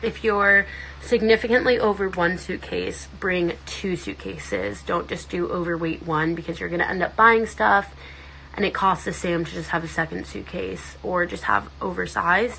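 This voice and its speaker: A woman keeps a moderate tempo while noticeable noise carries on in the background. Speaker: social media influencer. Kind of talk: casual chat. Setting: livestream. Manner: animated.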